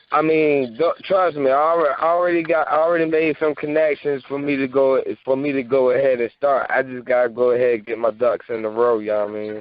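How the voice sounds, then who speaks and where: Talking at a fairly quick pace with hardly any pauses, a man with a New York accent uses a fairly high pitch and ordinary pitch variation. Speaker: music artist. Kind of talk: casual chat. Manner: halting, repeats words.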